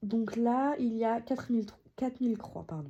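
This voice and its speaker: A woman's dark, mellow tone at a very slow pace, with fairly even intonation. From France, Alsace. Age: 30s. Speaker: cross-stitch YouTuber. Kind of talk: casual craft progress video. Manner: hesitant with many fillers.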